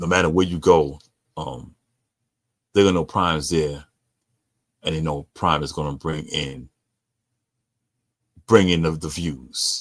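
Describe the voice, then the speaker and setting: With a New York accent and a very deep, low pitch, a man speaks at a fairly slow pace with vocal fry, fairly even intonation and long, frequent pauses on a very clean recording with a silent background. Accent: New York (Bronx). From New York, the Bronx. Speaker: sports podcast host. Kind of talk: casual sports commentary. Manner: stuttering.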